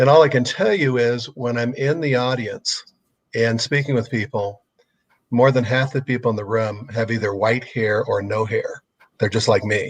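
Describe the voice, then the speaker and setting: Somewhat breathy, the man speaks at a medium pitch. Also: ordinary pitch variation, moderate pace. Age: 60s. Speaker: business consultant. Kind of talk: casual interview.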